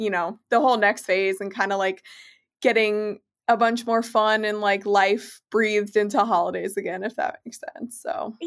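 A woman's fairly high voice at a moderate pace with ordinary pitch variation, on a very clean recording with a silent background. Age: 20s. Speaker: nutritionist and food blogger. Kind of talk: casual interview chat.

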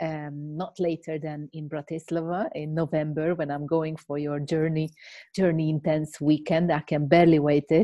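Speaking with a Hungarian accent, the voice keeps a monotone, flat intonation. The pace is moderate. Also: woman, very deep, low pitch for a woman. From Hungary. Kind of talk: casual interview. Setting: video call.

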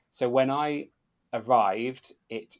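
A man with an English accent speaks in a monotone, flat intonation. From UK. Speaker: podcast host, former theme park worker. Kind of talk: casual chat.

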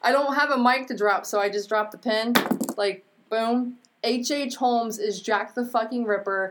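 There is noticeable background noise behind a woman speaking at a moderate pace. Her pitch is fairly high, and her intonation fairly even. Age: 30s. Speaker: true crime podcaster. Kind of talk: casual chat.

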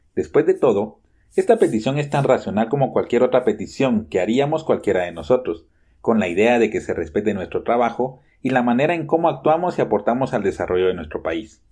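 A man with vocal fry and a dark, mellow tone talks at a fairly quick pace with lively intonation against a quiet background. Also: medium pitch for a man. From Guatemala. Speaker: journalist. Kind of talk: scripted narration.

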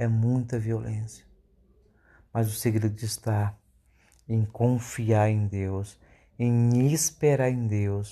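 Over a quiet background, a man with a medium pitch and a dark, mellow tone speaks with fairly even intonation and long, frequent pauses. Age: 40s. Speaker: preacher. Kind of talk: sermon. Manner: halting.

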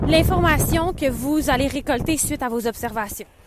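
A woman's high voice in a Quebec accent, with lively intonation at a fairly slow pace. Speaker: podcast host, business coach. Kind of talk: casual monologue. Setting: outdoors, walking in snow.

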